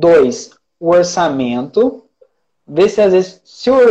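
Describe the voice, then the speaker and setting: High pitch and a dark, mellow tone in a man's voice. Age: 20s. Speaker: traffic manager (paid ads specialist). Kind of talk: casual interview chat.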